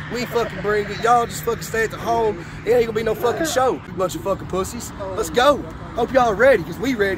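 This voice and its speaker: A man with an American accent talks at a very fast pace with a high pitch, ordinary pitch variation and hardly any pauses. The sound is dry with no echo, though noticeable background noise is present. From Kentucky. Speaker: amateur fighter. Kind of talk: fight promo call-out. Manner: hyped, aggressive, profane trash talk. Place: street. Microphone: phone near.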